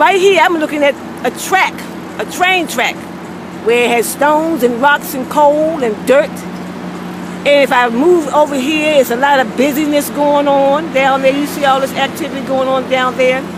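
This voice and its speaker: A loud woman with a high pitch and an animated tone speaks at a moderate pace with ordinary pitch variation, over noticeable background noise. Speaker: video blogger. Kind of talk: casual monologue. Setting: outdoors.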